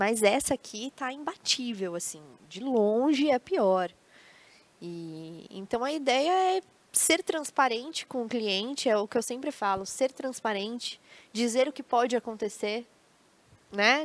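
A woman with a high pitch speaks at a fairly slow pace, her pitch swinging very widely and her loudness shifting greatly, in a dry, close sound with no echo. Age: 20s. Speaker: tourism account executive and creativity speaker. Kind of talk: casual interview on a live stream. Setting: studio with live audience of family.

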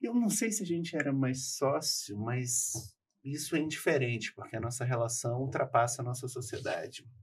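A man's somewhat breathy, medium-pitched voice at a moderate pace, with lively intonation. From Rio de Janeiro. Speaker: lawyer. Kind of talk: casual chat.

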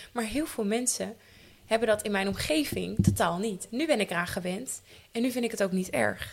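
Speaking at a moderate pace, a woman uses a medium pitch with ordinary pitch variation and some vocal fry. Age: 20s. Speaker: actor and theatre maker. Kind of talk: casual chat.

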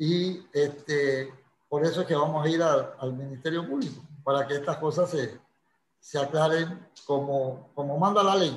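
The man's fairly high, somewhat breathy voice moves at a fairly slow pace with fairly even intonation. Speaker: lawyer. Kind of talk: interview.

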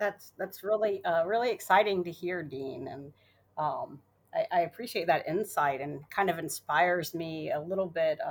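A woman talks in a normal speaking voice at a moderate pace, her pitch fairly low. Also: ordinary pitch variation. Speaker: accounting firm partner. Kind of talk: podcast interview.

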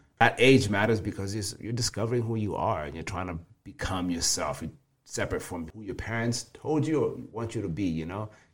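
A man with a fairly low pitch talks at a fairly quick clip, his intonation lively and his voice somewhat breathy. The recording is very clean, with a silent background. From Kenya. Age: 20s. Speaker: personal trainer. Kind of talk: casual interview.

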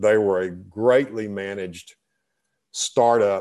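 With a Texan accent, a man speaks in a fairly low pitch and a dark, mellow tone against a quiet background. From Texas. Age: 60s. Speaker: retired business owner and author. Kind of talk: interview. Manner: halting, many repetitions.

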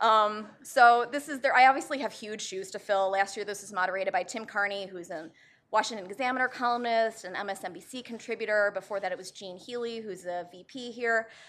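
A woman has a normal speaking voice, fairly high in pitch with ordinary pitch variation. She talks at a fairly quick pace with hardly any pauses and big swings in loudness. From Chicago, US Midwest. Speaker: debate moderator, policy commentator. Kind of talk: moderating a live debate. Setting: auditorium with audience. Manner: casual, joking.

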